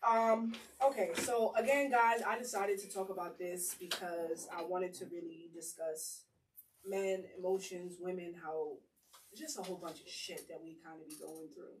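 Speaking with a plain, everyday voice at medium pitch, a woman keeps a moderate pace and ordinary pitch variation while her loudness swings widely. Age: 20s. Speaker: podcast host. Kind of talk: casual group chat.

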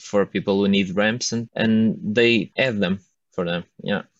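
A man talks in a Portuguese accent. His pitch is fairly low. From northern Portugal. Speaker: architecture student. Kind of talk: casual chat. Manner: halting.

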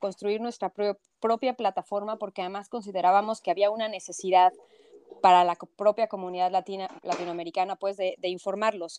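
Sounding dry and close with no echo, a woman with a Mexico City accent speaks fairly quickly at medium pitch with ordinary pitch variation. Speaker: journalist. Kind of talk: interview.

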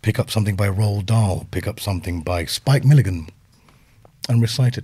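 Speaking at a fairly quick pace with a British accent, this man has a fairly low pitch, a dark, mellow tone, a somewhat breathy quality and ordinary pitch variation. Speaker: speech coach. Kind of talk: interview. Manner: conversational, storytelling.

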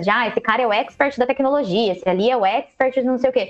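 A woman's voice with ordinary pitch variation. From Brazil, Jundiaí (São Paulo state). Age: 30s. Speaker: innovation professional. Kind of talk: casual chat. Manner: energetic.

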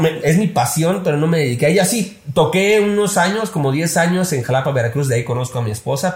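A man talks at a very fast pace with lively intonation. Noticeable background noise sits behind him. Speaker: social media consultant. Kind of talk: casual chat.

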